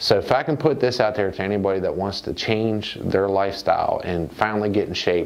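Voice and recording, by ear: This man speaks fast at a fairly low pitch, with vocal fry and ordinary pitch variation. Audible room echo surrounds his voice.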